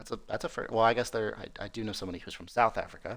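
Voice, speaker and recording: This man has an American accent and a fairly low pitch. Vocal fry runs through his voice. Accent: American (to European listeners). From US Midwest, North Dakota. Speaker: esports race commentator. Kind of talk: live commentary. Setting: live stream. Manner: casual, halting with fillers.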